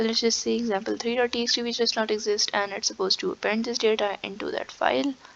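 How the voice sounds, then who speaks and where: Pitch varies in an ordinary way. It is an unremarkable speaking voice. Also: woman. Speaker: programming tutor. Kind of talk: tutorial. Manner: casual, with fillers.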